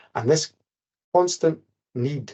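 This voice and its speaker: Somewhat breathy male voice at a moderate pace with ordinary pitch variation. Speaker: care inspector presenting briefing. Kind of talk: webinar presentation.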